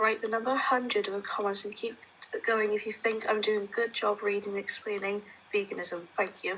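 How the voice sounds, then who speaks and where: A quiet, raspy put-on character voice from a woman, fairly high in pitch and fairly quick in pace. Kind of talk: reading aloud, unenthusiastic. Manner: quiet, hurried, flat.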